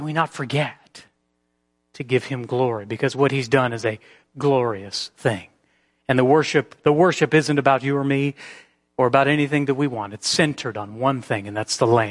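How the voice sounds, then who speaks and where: With a quiet background, there's an ordinary speaking voice, moderate in pace and ordinary in pitch variation. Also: man, medium pitch for a man. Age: 40s. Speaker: pastor. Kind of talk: sermon.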